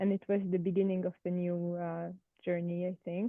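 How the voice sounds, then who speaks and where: Slow-paced and flat, a woman with a French accent speaks in a monotone at a fairly low pitch. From France. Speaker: participant. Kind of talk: group discussion introduction. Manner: hesitant, many fillers.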